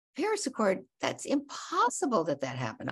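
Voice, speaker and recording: A woman's somewhat breathy voice is heard over a quiet background. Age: 70s. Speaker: activist and author. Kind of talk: interview. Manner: halting.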